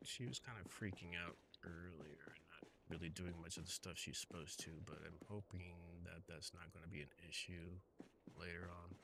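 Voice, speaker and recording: A man talks at a moderate pace in a very deep, low voice. His tone is bright and sharp, his intonation fairly even. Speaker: gaming streamer. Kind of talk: live gameplay commentary. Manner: soft-spoken; halting. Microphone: too quiet, adjusting mic levels.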